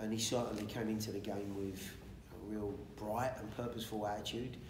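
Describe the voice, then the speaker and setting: A man's fairly low voice with fairly even intonation, over noticeable background noise. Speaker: football coach. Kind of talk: press conference answer. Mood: calm, measured. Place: hall.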